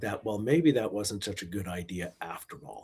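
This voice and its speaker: A man's fairly low, somewhat breathy voice with a Canadian accent, on a very clean recording with a silent background. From Quebec, Montreal. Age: 60s. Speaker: investment manager and author. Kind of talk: podcast interview.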